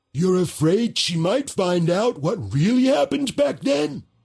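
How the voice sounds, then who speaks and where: The speaker is a man using a put-on character voice. It sits high in pitch. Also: moderate pace. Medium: video game.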